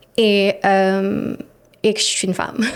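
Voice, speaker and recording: The recording is very clean with a silent background. A woman with an English accent speaks at a medium pitch. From Montreal, Quebec. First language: English (speaking French). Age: 30s. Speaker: city councillor. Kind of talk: interview conversation.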